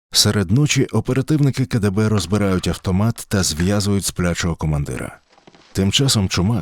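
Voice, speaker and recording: A man talks at a moderate pace with a plain, everyday voice, fairly low in pitch and lively in intonation. The sound is dry and close with no echo. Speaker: narrator. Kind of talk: history podcast narration.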